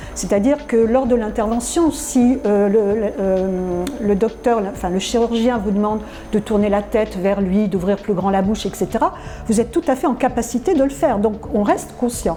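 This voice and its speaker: Music can be heard in the background. A woman speaks at a moderate pace. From France. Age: 60s. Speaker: dental patient giving testimonial. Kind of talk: testimonial interview. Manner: halting, many hesitations.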